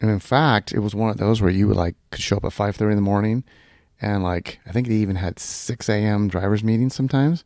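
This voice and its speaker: In an American accent, this is an ordinary speaking voice at a fairly quick pace with ordinary pitch variation, recorded very cleanly in silence with a dry, close sound and no echo. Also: man. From Southern California. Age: 50s. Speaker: kart racer. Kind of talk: casual chat.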